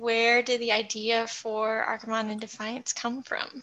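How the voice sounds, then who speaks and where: At a fairly slow pace, a woman is talking. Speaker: podcast host. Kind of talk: interview.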